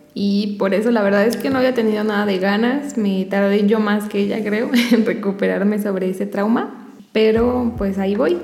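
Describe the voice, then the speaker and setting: A woman at a moderate pace, medium in pitch with fairly even intonation, amid audible room echo and noticeable background noise. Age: 20s. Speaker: podcast co-host. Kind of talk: casual chat.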